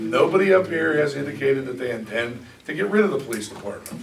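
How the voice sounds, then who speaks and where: A man with a fairly high pitch and lively intonation, at a fairly quick pace, with audible room echo and noticeable background noise. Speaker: township solicitor. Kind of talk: heated debate. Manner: loud; formal.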